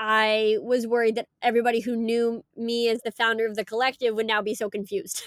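On a very clean recording with a silent background and a dry, close sound with no echo, a woman speaks at a fairly quick pace and a fairly high pitch, in monotone, flat intonation with hardly any pauses. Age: 20s. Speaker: startup founder. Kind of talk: interview.

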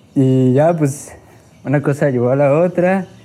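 Very slowly, a man speaks with a fairly high pitch and a dark, mellow tone. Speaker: podcast host. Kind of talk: casual chat.

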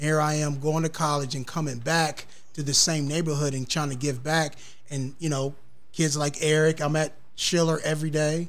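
Amid audible room echo, a man with an American accent speaks at a moderate pace in a fairly high, monotone, flat voice. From US Midwest, south side of Columbus, Ohio. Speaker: recreation center worker and kidney disease patient. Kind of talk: casual interview.

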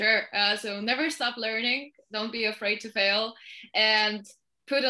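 A woman's bright, sharp voice in a Polish accent at a moderate pace. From Poland. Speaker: marketing manager. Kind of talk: interview.

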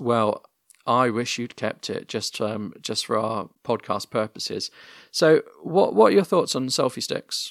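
In a very clean recording with a silent background and a dry, close sound with no echo, a man with a British accent speaks fairly slowly at medium pitch with lively intonation. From UK. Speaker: podcast host. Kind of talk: casual interview chat. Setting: home recording, internet podcast.

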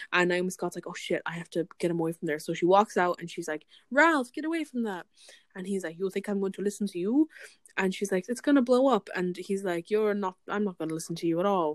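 A woman in an Irish accent at a very fast pace, animated in tone with lively intonation, in a dry, close sound with no echo. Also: medium pitch for a woman. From Ireland. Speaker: podcast co-host. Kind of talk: casual chat. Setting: video call.

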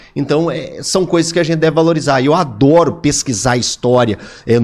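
A man speaks in a plain, everyday voice at a moderate pace with ordinary pitch variation. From Minas Gerais interior, Divinópolis. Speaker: sports commentator. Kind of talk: casual chat.

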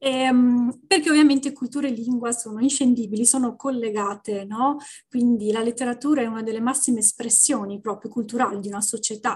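A woman with an unremarkable speaking voice talks at a fairly quick pace, her fairly high pitch held in fairly even intonation. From Venice, Italy. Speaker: Italian teacher, language content creator. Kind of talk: podcast interview.

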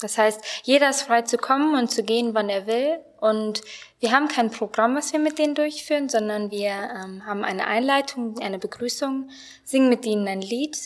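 A woman talks with a normal speaking voice, pitched fairly high. Her pace is moderate and her pitch variation ordinary. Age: 20s. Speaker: Bible school student and youth volunteer. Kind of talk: radio interview.

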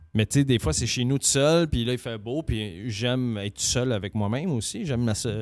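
A man talks at a moderate pace with hardly any pauses, in a Quebec accent. His pitch is medium, with ordinary variation. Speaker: podcast co-host. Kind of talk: casual chat. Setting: studio.

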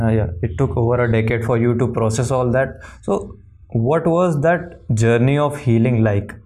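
A man speaks at medium pitch and a moderate pace in a dark, mellow tone with ordinary pitch variation. His loudness stays very even, and audible room echo surrounds him. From India. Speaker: podcast host. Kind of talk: interview.

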